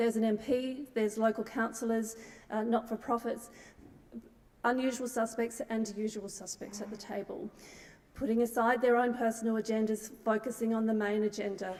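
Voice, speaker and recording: With an Australian accent, a woman speaks at a moderate pace in a fairly high pitch and with fairly even intonation. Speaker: nonprofit CEO, keynote speaker. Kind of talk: conference talk. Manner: halting, many fillers.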